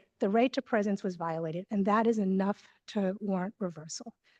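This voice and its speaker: Recorded with a dry, close sound and no echo, a woman at medium pitch speaks at a fairly quick pace with ordinary pitch variation. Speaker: defense attorney. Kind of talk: appellate oral argument. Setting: courtroom. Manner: quiet. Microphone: too far from microphone, hard to hear.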